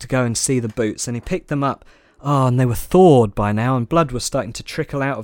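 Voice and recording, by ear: In a natural voice, a passage is read aloud with pitch that varies in an ordinary way.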